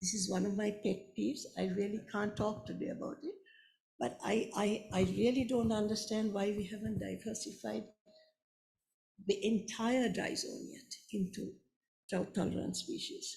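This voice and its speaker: With vocal fry and a dark, mellow tone, a woman speaks at a medium pitch and moderate pace with ordinary pitch variation. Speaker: conservation scientist. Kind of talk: panel discussion. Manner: halting.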